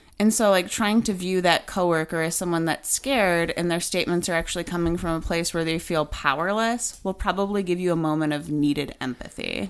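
In an unremarkable speaking voice, a woman with an American accent talks at a fairly quick pace with hardly any pauses, a fairly low pitch and ordinary pitch variation. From US Midwest, small town. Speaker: podcast co-host. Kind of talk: casual chat.

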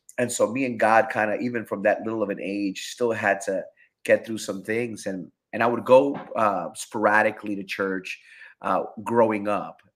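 In an American accent, a man speaks at medium pitch and a moderate pace with monotone, flat intonation. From Rochester, New York. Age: 40s. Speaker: pastor. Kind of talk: testimony.

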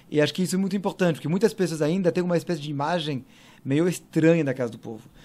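A man speaks with a French accent. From France (Paris). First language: French (speaking Portuguese). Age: 40s. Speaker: cultural manager. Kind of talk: interview conversation.

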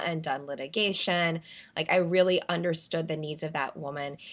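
In a very clean recording with a silent background, a woman with an American accent has an unremarkable speaking voice, fairly low in pitch with ordinary pitch variation. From US South, North Carolina. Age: 30s. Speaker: fashion brand founder, former lawyer. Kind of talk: interview conversation.

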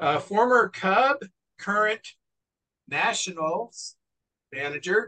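Raising and projecting his voice, a man with a bright, sharp tone speaks at a very slow pace, with long, frequent pauses and very wide pitch swings, in a dry, close sound with no echo. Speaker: podcast host. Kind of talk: casual chat.

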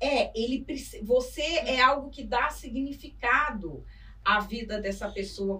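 Amid noticeable background noise, a woman speaks in an animated tone at a high pitch. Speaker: journalist and author. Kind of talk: interview conversation. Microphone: poor audio capture.

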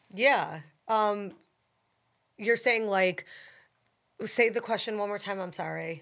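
With an American accent, a woman at a medium pitch speaks at a very slow pace with long, frequent pauses and fairly even intonation, in a very clean recording with a silent background. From Buffalo, New York. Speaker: food influencer, former TV anchor. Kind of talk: casual interview chat.

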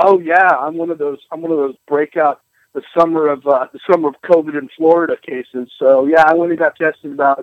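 A man with an American accent has a plain, everyday voice at a fairly high pitch. He talks at a fairly quick pace with fairly even intonation and big swings in loudness. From US Pacific Northwest. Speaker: podcast guest. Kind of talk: casual chat. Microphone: phone line breaking up.

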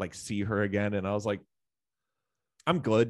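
Against a quiet background, a man with a fairly low pitch talks at a fairly quick pace, the sound dry and close with no echo. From Canada. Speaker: musician and social media creator. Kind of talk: casual chat.

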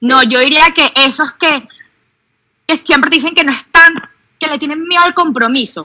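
A woman uses a raised, projected voice with a bright, sharp tone and high pitch. She keeps a moderate pace, with long, frequent pauses. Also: ordinary pitch variation. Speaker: doctor. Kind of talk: casual chat.

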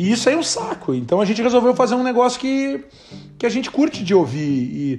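A man at an extremely high pitch with very wide pitch swings and a fairly quick pace, music in the background. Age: 40s. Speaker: podcast host. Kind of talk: casual chat.

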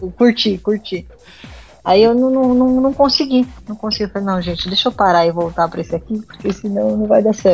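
An ordinary speaking voice, its pitch variation ordinary as well. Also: woman, medium pitch for a woman, fairly quick pace. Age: 20s. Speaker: podcast guest, gamer. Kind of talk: casual chat.

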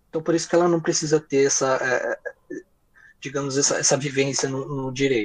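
A normal speaking voice from a man, fairly high-pitched, fairly quick, with fairly even intonation. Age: 20s. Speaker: lawyer. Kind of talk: interview.

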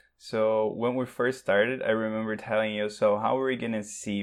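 Fairly low in pitch, a man with a São Paulo accent talks at a fairly quick pace with fairly even intonation. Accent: São Paulo Brazilian accent in English. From Brazil, São Paulo. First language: Portuguese. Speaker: language teacher and show's technical staff. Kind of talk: casual chat.

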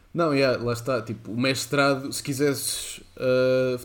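At a fairly slow pace, a man speaks in a plain, everyday voice with a medium pitch. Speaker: podcast co-host. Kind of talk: casual chat.

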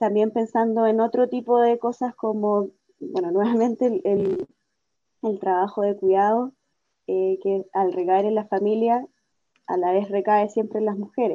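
At a fairly slow pace, a woman speaks in a normal speaking voice, fairly high in pitch with fairly even intonation. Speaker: feminist activist. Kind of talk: interview.

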